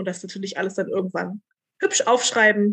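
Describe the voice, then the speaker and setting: Heard in a dry, close sound with no echo, a woman talks at a moderate pace and medium pitch, with a bright, sharp tone and monotone, flat intonation. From Berlin. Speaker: doctoral researcher in textile archaeology. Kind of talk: casual interview.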